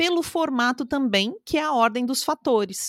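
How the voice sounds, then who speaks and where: The woman's intonation is lively, her pitch high and her speed fairly quick. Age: 30s. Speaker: communication and public speaking coach. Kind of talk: interview.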